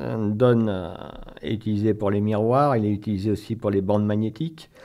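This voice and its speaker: His fairly low-pitched voice gives this man a dark, mellow tone. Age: 60s. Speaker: local currency association co-president, former math teacher. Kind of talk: radio interview. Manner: hesitant, many fillers and repetitions.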